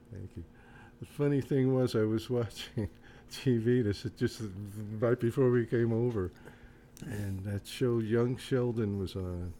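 A man with a dark, mellow tone talks at a medium pitch and a fairly slow pace. His pitch varies in an ordinary way, broken by long, frequent pauses. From New Jersey. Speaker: singer-songwriter, retired art teacher. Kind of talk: casual chat.

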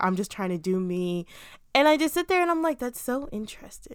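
At a fairly quick pace, a woman talks in an unremarkable speaking voice, captured in a very clean recording with a silent background. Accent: American. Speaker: podcast co-host. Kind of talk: casual chat.

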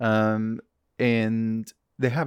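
In a very clean recording with a silent background, a man with an American accent speaks at medium pitch, the sound dry and close with no echo. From US Midwest (Wisconsin). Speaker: podcast host. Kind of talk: casual chat.

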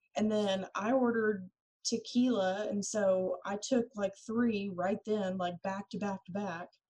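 This woman talks at a fairly slow pace in a medium pitch. Her voice is somewhat breathy, with fairly even intonation. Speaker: podcast co-host. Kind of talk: casual chat, storytelling.

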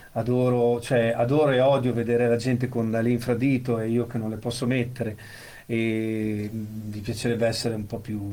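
Amid audible room echo, a man speaks at a moderate pace and medium pitch in a flat monotone. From central Italy (Monte Castello area). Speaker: amputee with prosthesis, former disc jockey. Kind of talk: casual chat.

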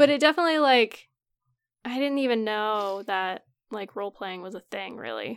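Over music in the background, a woman's voice shows lively intonation and big swings in loudness, with a dry, close sound and no echo. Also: fairly high pitch for a woman, moderate pace. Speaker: podcast co-host. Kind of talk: casual chat.

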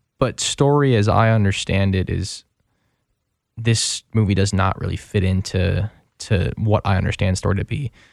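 A man with an unremarkable speaking voice talks at a moderate pace with fairly low pitch and ordinary pitch variation, on a very clean recording with a silent background. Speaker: radio co-host. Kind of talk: casual film review chat on radio. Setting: radio studio booth.

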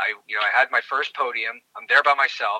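A man speaking at a fairly quick pace, in a dry, close sound with no echo. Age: 40s. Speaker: obstacle course racer. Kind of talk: interview.

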